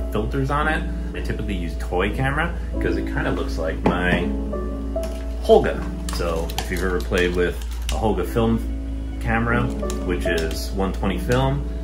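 A man at a moderate pace with long, frequent pauses, clear music playing in the background. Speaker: photographer vlogger. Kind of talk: casual vlog chat. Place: home room. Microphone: phone near.

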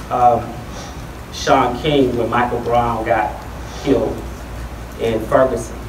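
A man speaks at a very slow pace in a monotone, flat intonation, with noticeable background noise behind him. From Atlanta, Georgia; Georgia. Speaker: tech entrepreneur and panel moderator; panel moderator. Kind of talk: panel discussion. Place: hall.

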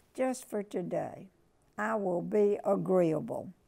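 A very slow pace and dark, mellow tone against a quiet background. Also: woman. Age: 90s. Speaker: inspirational speaker; speaker. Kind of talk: reading aloud. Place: home room. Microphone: lapel.

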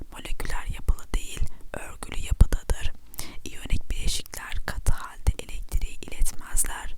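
A whisper at a medium speed comes through noticeable background noise. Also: woman. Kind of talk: ASMR chemistry lesson. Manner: whispered.

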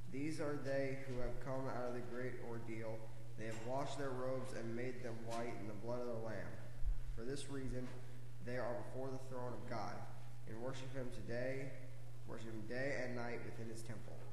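The man's intonation is monotone and flat at a moderate pace. Audible room echo and light background noise surround him. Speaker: reader at lectern. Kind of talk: scripture reading. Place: church. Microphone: camera far.

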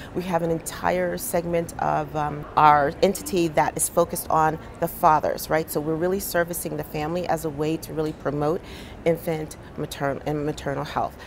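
At a moderate pace, a woman with an American accent speaks in a very deep, low voice with monotone, flat intonation over light background noise. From New Jersey, Monmouth County. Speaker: physician and public health leader. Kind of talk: interview. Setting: conference. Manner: hesitant with many fillers. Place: studio. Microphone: lapel.

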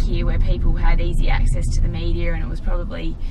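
A woman speaks over loud background noise. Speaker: interview guest. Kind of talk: interview answer. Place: car. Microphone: phone near.

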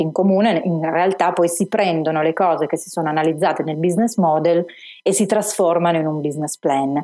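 A woman's fairly low, dark and mellow voice with a Turin accent and ordinary pitch variation, in a very clean recording with a silent background. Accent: Turin accent, noticeable. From Turin, Italy. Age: 40s. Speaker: business plan author and entrepreneur. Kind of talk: interview conversation.

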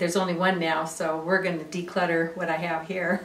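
Audible room echo surrounds the voice. A woman speaks at medium pitch and a moderate pace. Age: 60s. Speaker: host's mother. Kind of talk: casual chat. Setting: at home. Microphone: camera far.

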